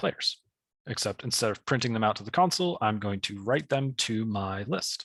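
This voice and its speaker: A man with a plain, everyday voice, fairly low in pitch with ordinary pitch variation, at a moderate pace, in a very clean, dry, close recording with no echo and a silent background. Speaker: programming teacher. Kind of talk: tutorial.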